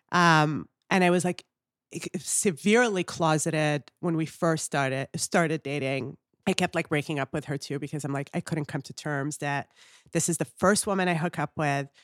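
A woman's very deep, low pitch with ordinary pitch variation, in a very clean recording with a silent background. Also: moderate pace, dry, close sound with no echo. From Canada. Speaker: comedian. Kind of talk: casual interview chat. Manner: laughs often.

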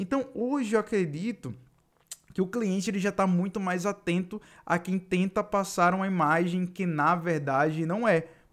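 An energetic man with a northeastern Brazilian accent, high-pitched, at a moderate pace with ordinary pitch variation. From Northeast Brazil. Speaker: podcast host, digital marketing coach. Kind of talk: solo podcast monologue. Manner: casual, energetic.

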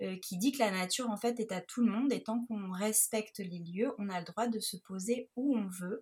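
Here a woman speaks with a fairly high pitch. Her voice is somewhat breathy. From Nice, southern France. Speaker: photographer and travel blogger. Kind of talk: interview, personal travel account. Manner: hesitant, with many fillers.

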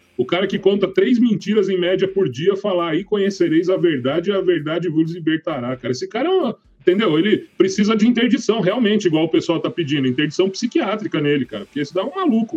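A man's high-pitched voice at a very fast pace, with lively intonation and hardly any pauses. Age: 30s. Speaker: podcast co-host. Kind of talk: casual debate.

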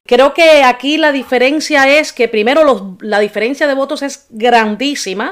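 Pitch shifts in an ordinary way while the delivery stays fairly slow. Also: woman, high pitch for a woman. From Cuba, Havana. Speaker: podcast host. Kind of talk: casual chat.

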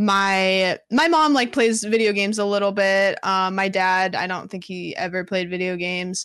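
A woman with an American accent speaks at a moderate pace in a medium pitch, with ordinary pitch variation and hardly any pauses. She has a normal speaking voice, and the background is quiet. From US Pacific Northwest, small rural town. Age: 20s. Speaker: streamer. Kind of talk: casual interview chat. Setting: live stream.

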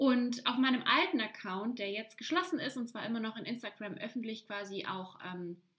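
Her tone animated and her intonation lively, a woman speaks at a moderate pace in a high voice. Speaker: podcast host, life coach. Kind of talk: solo podcast monologue.

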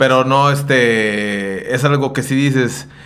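Audible room echo surrounds a man speaking at medium pitch with fairly even intonation. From Mexico, Jalisco (Sayula). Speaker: podcast co-host, musician. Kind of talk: casual chat.

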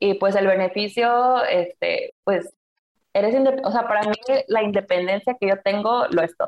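A woman in a plain, everyday voice speaks fairly slowly at a medium pitch, with ordinary pitch variation and very even loudness. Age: 20s. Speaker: student and corporate employee. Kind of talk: casual interview chat.

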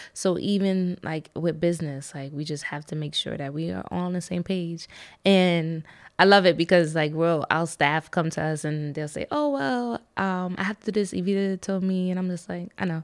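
A woman talks in a plain, everyday voice, fairly low in pitch, with ordinary pitch variation. She keeps a moderate pace on a very clean recording with a silent background. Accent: American. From US Northeast, the Bronx, New York. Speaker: winery and book bar owner. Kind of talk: casual chat.

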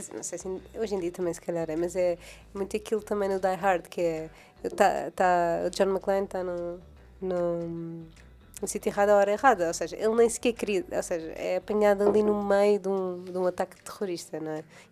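On a very clean recording with a silent background, a woman with a dark, mellow tone speaks at a fairly quick pace, at medium pitch with fairly even intonation. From Madeira, Portugal. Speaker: podcast co-host. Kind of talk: casual chat.

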